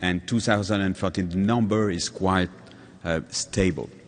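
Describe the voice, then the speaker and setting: A man with a French accent at a fairly slow pace. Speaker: patient advocate. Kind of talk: conference talk. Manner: halting.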